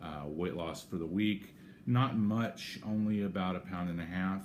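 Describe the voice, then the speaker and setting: A man's voice with audible room echo. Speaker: vlogger sharing weight-loss surgery progress. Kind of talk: casual video diary. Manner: halting, many fillers.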